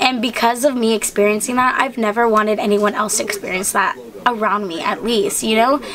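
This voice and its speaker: Noticeable background noise accompanies a woman speaking at a fairly quick pace. Her pitch is fairly high, with ordinary variation. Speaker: vlogger. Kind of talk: casual Q&A vlog. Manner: chatty, lots of fillers.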